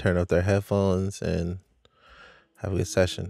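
A man with a very deep, low pitch speaks at a fairly slow pace in a dry sound with no echo, faint music in the background. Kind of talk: tutorial. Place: studio. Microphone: studio mic.

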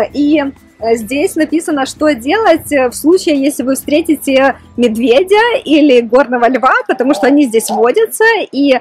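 A woman speaks at a fairly slow pace. Faint music plays in the background. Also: dry sound with no echo. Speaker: vlogger. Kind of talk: casual vlog chat. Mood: cheerful, slightly nervous. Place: forest. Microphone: phone near.

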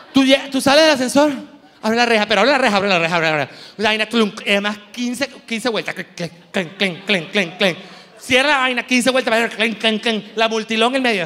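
A man with a Venezuelan accent speaks in a raised, projected voice at a moderate pace. His pitch is high, with ordinary pitch variation. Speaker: comedian. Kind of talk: stand-up. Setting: stage with audience. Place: stage. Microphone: handheld.

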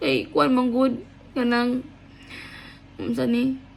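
A woman with a high pitch at a very slow pace. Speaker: vlogger. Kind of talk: casual vlog talk. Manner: rambling, hesitant with fillers; laughing often.

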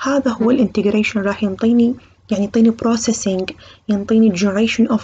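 A woman with an Iraqi accent speaks at a moderate pace. Her pitch is fairly high, and there is noticeable background noise. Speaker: medical university lecturer. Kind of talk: lecture. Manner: code-switching between Arabic and English terms.

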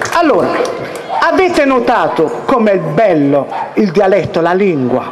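A man's high voice with very wide pitch swings at a fairly slow pace, over noticeable background noise. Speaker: dialect teacher. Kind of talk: live lecture on dialect spelling to an audience. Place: stage. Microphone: handheld.

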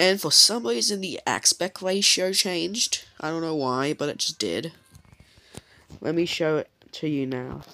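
The voice has a bright, sharp tone. It moves at a fairly slow pace. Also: ordinary pitch variation.

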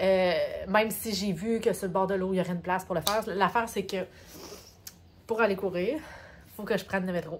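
In a Quebec accent, a woman speaks at a fairly quick pace with long, frequent pauses over light background noise. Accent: Québécois French. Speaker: vlogger. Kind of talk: travel vlog. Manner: casual, animated. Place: home room. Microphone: phone near.

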